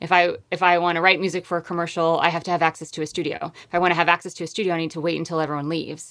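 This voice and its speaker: With hardly any pauses and at a very fast pace, a woman with an American accent speaks in a fairly low pitch and monotone, flat intonation, on a very clean recording with a silent background. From US Northeast, Connecticut. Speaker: singer-songwriter and composer. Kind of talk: casual interview chat.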